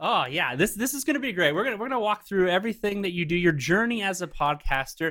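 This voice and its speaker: Raising and projecting his high-pitched voice, a man talks very fast with hardly any pauses, lively intonation and a bright, sharp tone. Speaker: podcast host. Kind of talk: casual chat. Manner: animated.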